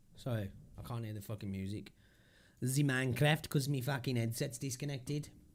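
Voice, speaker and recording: This voice, with a British accent, moves at a fairly quick pace. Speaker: crypto livestreamer. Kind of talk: casual livestream commentary.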